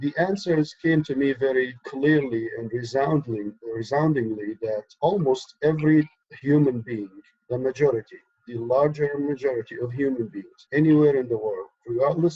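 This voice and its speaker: Somewhat breathy, the voice keeps a moderate tempo and ordinary pitch variation. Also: man, fairly high pitch for a man. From Egypt. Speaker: activist, organization co-founder. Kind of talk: interview.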